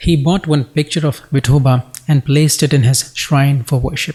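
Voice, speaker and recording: Somewhat breathy and fairly high-pitched, a man with an American accent speaks at a moderate pace. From United States. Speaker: devotional text reader. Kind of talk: religious scripture reading.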